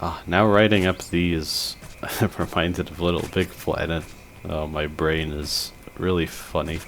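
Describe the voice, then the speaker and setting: Very deep and low, the man's voice moves at a fairly slow pace. His intonation is fairly even. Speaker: gaming commentator. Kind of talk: gameplay commentary. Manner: slurs words at times.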